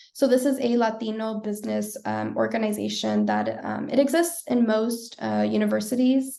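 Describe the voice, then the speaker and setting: A woman talks at a moderate pace with hardly any pauses. She has an American accent. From US, Los Angeles (San Fernando Valley). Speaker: workshop presenter. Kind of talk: career workshop presentation.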